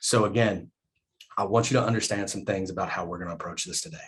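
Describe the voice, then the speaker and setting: The speaker goes at a very fast pace with fairly even intonation. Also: man. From southern West Virginia coal fields. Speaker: professor. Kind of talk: keynote talk. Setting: video call. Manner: repeats words, hesitant fillers.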